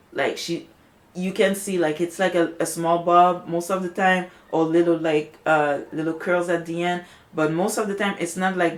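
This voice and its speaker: Moderate pace and a monotone, flat delivery. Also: woman. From Montreal, Quebec. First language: French. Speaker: natural hair vlogger. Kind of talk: video rant. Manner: halting, many fillers.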